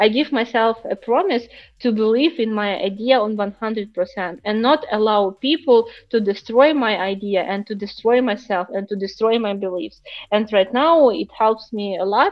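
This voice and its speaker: A woman speaks with a Ukrainian accent at a fairly high pitch. Her pace is moderate and her pitch variation ordinary. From Ukraine. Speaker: startup founder. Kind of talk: interview. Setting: live stream. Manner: halting, many fillers.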